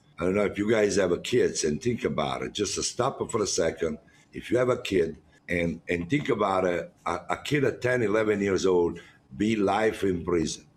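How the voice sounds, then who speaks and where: At a moderate pace, a man speaks with a strong non-native accent, a fairly low pitch and ordinary pitch variation. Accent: strong foreign. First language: Italian. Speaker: chef running a jail cooking program. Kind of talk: interview. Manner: halting; animated.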